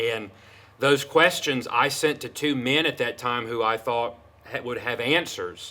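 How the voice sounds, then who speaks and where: Loud and fairly slow, a man talks at a medium pitch in a bright, sharp tone with fairly even intonation. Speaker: pastor and seminary student. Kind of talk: interview. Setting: podcast.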